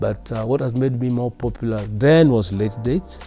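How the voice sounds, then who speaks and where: Music plays in the background as a man speaks at a medium pitch with ordinary pitch variation. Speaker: veteran radio broadcaster. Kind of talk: interview answer about his career. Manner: reserved, few words.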